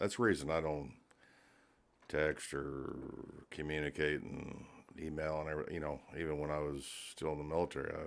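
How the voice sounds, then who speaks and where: Mumbling in a very deep, low pitch, a man talks at a fairly quick pace in a flat monotone, broken by long, frequent pauses. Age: 50s. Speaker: air force and national guard veteran, business owner. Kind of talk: casual chat.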